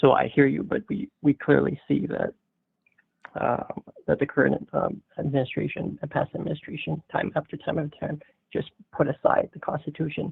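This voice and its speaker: This is a put-on character voice delivered in a raspy whisper. It moves along at a moderate pace. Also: man. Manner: whispering.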